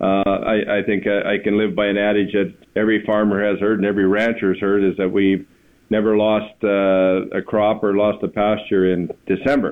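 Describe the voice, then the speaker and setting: A man with a Canadian accent talks at a fairly quick pace in a fairly low voice. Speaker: provincial agriculture minister. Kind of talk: interview. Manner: halting, many fillers.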